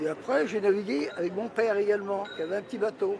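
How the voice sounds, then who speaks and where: A high-voiced man speaks at a fairly quick pace, with audible room echo and noticeable background noise. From Brittany, Morbihan (Le Bono). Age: 80s+. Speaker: retired butcher, former fisherman. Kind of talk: interview. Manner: halting.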